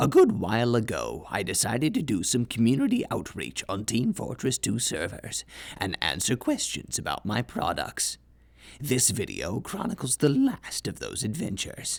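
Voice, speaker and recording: This man puts on a character voice, talking at a moderate pace with a medium pitch. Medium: game stream. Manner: formal, deadpan, mock-corporate.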